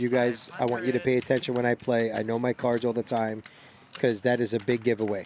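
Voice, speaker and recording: A man's animated, very fast delivery at medium pitch, in a Brooklyn accent, over noticeable background noise. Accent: New York (Brooklyn). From Brooklyn, New York. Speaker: poker commentator. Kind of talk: live commentary.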